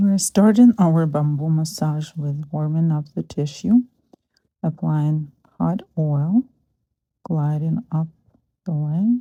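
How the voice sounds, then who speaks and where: A soft-spoken woman with a very deep, low pitch, a calm, dark, mellow tone, somewhat breathy, ordinary pitch variation, a very slow pace and long, frequent pauses. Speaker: massage therapist. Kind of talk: soft-spoken instructional narration. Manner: soft-spoken, calm.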